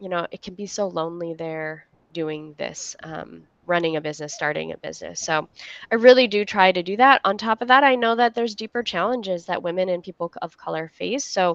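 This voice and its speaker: A woman at a medium pitch, fairly quick and lively in intonation, with big swings in loudness and a dry, close sound with no echo. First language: not English. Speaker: entrepreneur, co-working space founder. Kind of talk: interview. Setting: livestream.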